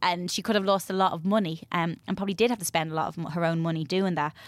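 A woman talks in an Irish accent. Her pitch is fairly low and her intonation fairly even. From Ireland, Bray, County Wicklow. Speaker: media personality and goodwill ambassador. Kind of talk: casual chat.

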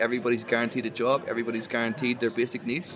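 Crowd noise fills the background. A man speaks at a medium pitch with an Irish accent. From Ireland. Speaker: podcast host. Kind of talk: casual chat. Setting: outdoors at a pub.

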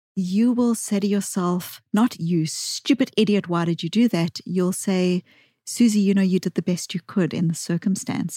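This woman's voice sits at a medium pitch, with a dark, mellow tone, a somewhat breathy quality and ordinary pitch variation at a moderate pace. The sound is dry and close with no echo, in a very clean recording with a silent background. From South Africa. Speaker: psychologist and author. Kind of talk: interview discussion.

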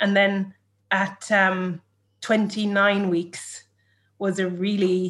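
With an Irish accent, a woman speaks at a medium pitch in a monotone, flat delivery. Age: 30s. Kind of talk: personal story interview.

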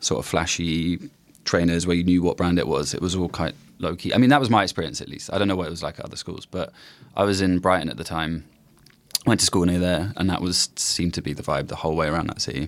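This man speaks very fast in a very deep, low voice with ordinary pitch variation. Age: 30s. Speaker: journalist. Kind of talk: casual chat.

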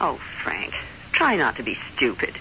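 A put-on character voice leaps through very wide pitch swings with a bright, sharp tone and vocal fry. Faint background noise sits underneath. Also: woman, extremely low pitch for a woman, moderate pace.

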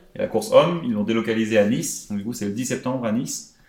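A man with a medium-pitched voice races along at a very fast pace, his pitch varying in an ordinary way. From Lyon, France. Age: 20s. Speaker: guest. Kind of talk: casual chat.

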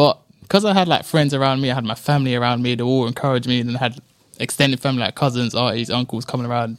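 Talking at a very fast pace, a man with a London accent keeps a medium pitch and ordinary pitch variation. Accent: London (multicultural London English). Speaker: knife crime victim, guest. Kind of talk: interview testimony. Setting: studio.

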